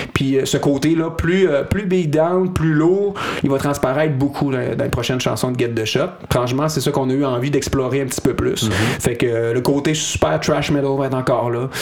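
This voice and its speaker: With a Quebec accent, a man speaks in a fairly high voice, hardly pausing, amid audible room echo and noticeable background noise. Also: ordinary pitch variation, moderate pace. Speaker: hardcore band singer. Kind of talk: casual interview.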